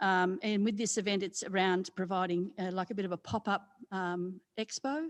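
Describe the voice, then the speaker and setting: A woman speaks with an Australian accent at a moderate pace. Her intonation stays fairly even. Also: quiet background. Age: 60s. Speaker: community development coordinator. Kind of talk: presentation to a committee. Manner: loud; halting, many fillers.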